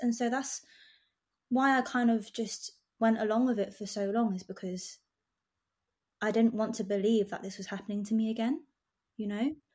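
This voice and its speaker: A woman speaks at a fairly quick pace in a somewhat breathy voice, her intonation fairly even. She leaves long, frequent pauses, and the recording is very clean with a silent background. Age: 20s. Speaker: nail artist. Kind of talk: casual interview chat.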